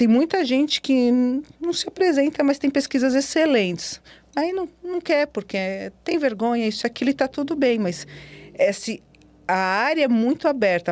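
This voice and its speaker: In a very clean recording with a silent background, a woman's voice moves through very wide pitch swings. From Brazil. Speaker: cybersecurity specialist and professor. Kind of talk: podcast interview. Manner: animated.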